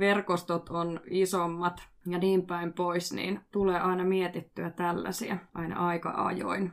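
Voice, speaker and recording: A woman talks at a very slow pace with hardly any pauses. Her fairly low voice stays monotone, with flat intonation. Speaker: podcast host and street mediation worker. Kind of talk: casual discussion.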